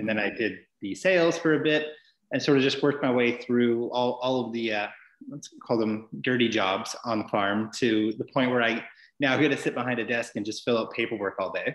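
At a fairly quick pace, a man with a British Columbian accent talks with ordinary pitch variation and audible room echo. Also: medium pitch for a man, quiet background. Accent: Canadian (British Columbia). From Vancouver Island, British Columbia, Canada (Cumberland). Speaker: distillery worker; guest. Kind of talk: casual interview. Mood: friendly, relaxed. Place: home room. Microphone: video call.

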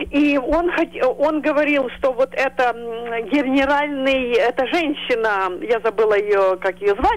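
A woman speaks very slowly in a high pitch, her intonation lively. Her loudness stays very even throughout. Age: 60s. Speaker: caller. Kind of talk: call-in opinion.

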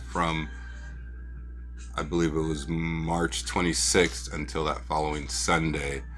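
A man's voice over faint music in the background. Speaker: toy car collector channel host. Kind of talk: casual vlog chat. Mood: relaxed, slightly concerned. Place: home room.

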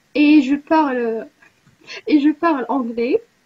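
A woman with an Arabic accent talks at a very slow pace, her pitch high with ordinary variation. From Morocco. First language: Arabic (speaking French). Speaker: university student, language exchange participant; tutor leading a language exchange. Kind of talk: casual online group chat, self-introduction. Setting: video call. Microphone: video call.

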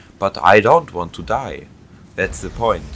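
A man speaks with a German accent. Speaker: gaming YouTuber. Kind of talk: gameplay commentary. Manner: halting.

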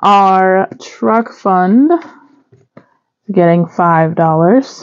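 Here a woman speaks with ordinary pitch variation. Behind her the background is quiet. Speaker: budgeting vlogger. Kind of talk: casual vlog chat. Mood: relaxed, light laughter. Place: home room.

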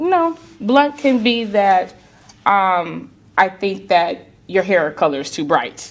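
A woman's medium-pitched voice at a very slow pace, with very wide pitch swings. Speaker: realtor and business coach; talk show guest. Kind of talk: interview. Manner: direct. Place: studio.

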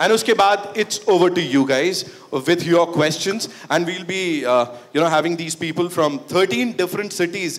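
The man's voice is high in pitch, with ordinary pitch variation and a moderate pace. Light background noise can be heard. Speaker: event emcee. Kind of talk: live event hosting. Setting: stage with audience. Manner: animated. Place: hall.

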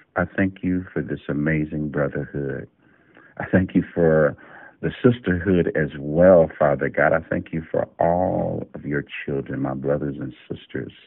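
A man speaks at a fairly slow pace in a very deep, low voice with ordinary pitch variation. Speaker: prayer leader. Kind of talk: fervent spoken prayer; scripture reading. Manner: earnest, heartfelt, repetitive invocations of Father God; warm, devout, steady flowing cadence.

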